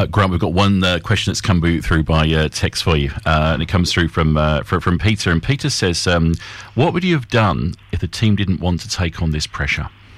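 A man speaks at a fairly quick pace. His voice is very deep and low, with ordinary pitch variation. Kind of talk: live radio DJ patter: upbeat break-time station ID, time check and guest recap. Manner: brisk, bright and polished, with a smooth broadcaster rhythm.

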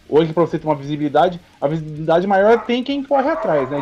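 A male speaker over noticeable background noise. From São Paulo, Brazil. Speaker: metal band vocalist. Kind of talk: casual chat.

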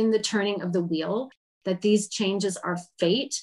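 Intonation stays fairly even while the talking proceeds at a moderate pace. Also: woman. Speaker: podcast host and tarot reader. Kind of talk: interview with a witchy game show.

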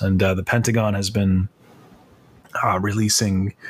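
This man speaks with an American accent. His voice is fairly low and somewhat breathy. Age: 30s. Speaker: concept artist and art instructor. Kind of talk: casual interview.

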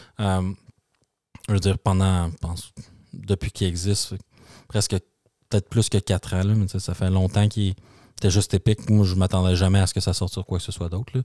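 On a very clean recording with a silent background, a man with a Quebec accent and a very deep, dark, mellow voice speaks in a flat monotone at a fairly quick pace, with long, frequent pauses. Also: dry, close sound with no echo. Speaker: tech podcast co-host. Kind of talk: casual chat.

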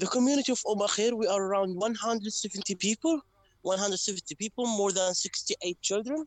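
With an Arabic accent, a man with a high pitch speaks at a fairly slow pace, showing ordinary pitch variation and very even loudness in a dry, close sound with no echo. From West Bank, Palestine. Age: 20s. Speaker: English teacher and community representative. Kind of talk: interview. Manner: halting, with frequent repetitions.

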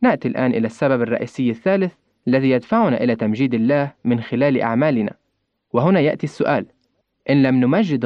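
The speaker is a man with an unremarkable speaking voice, medium in pitch with ordinary variation. He keeps a moderate pace and very even loudness. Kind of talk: scripted religious reflection.

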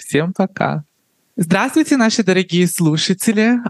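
Recorded with a dry, close sound and no echo, a woman speaks with lively intonation. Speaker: podcast host. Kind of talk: podcast interview. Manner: warm, playful.

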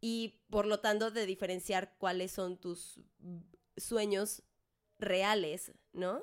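With a Mexican accent, a woman at medium pitch speaks very slowly in a flat monotone, leaving long, frequent pauses. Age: 20s. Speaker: podcast co-host, singer. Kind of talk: casual chat.

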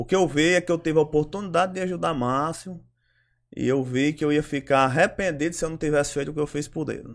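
Talking at a very fast pace, a man with a fairly high pitch is heard on a very clean recording with a silent background. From Ceará, Brazil. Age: 30s. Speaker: local political organizer. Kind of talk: interview. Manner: halting.

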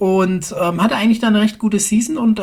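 A woman speaks over noticeable background noise. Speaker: podcast host. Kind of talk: casual chat.

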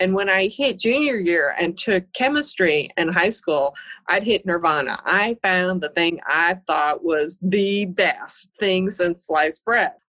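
Bright and sharp in tone, the voice moves with lively intonation and hardly any pauses, keeping a very even loudness in a dry, close sound with no echo. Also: woman, medium pitch for a woman, fairly slow pace. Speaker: environmental engineer. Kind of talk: interview.

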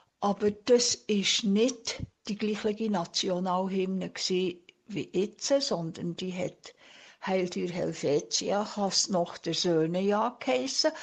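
Speaking very slowly, a woman varies her pitch in an ordinary way. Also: medium pitch for a woman. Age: 70s. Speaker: retiree interviewee. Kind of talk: interview answers.

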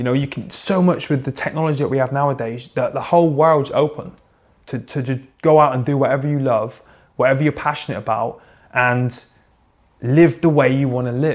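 In a West Country accent, a man speaks at a fairly quick pace. His pitch is fairly high and his intonation fairly even. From England, Plymouth. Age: 30s. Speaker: military veteran and athlete. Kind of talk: interview conversation.

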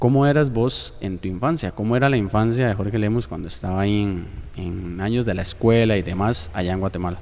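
Here a man speaks in a plain, everyday voice at a fairly quick pace. His pitch sits fairly low. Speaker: podcast host. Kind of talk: interview.

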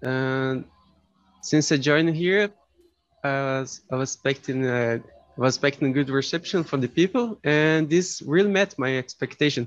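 A man with a Brazilian accent speaks at a moderate pace, his pitch fairly high. Pitch variation is ordinary, and the sound is dry and close with no echo. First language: Portuguese. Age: 20s. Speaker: master's student, language learner. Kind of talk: casual group chat. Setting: video call, breakout room. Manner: shy, introverted.

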